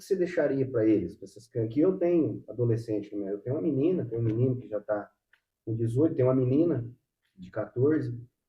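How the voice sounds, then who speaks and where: This man's voice sits at a medium pitch and is somewhat breathy, with ordinary pitch variation. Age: 40s. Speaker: podcast host. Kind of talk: casual interview chat. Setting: at the guest's home.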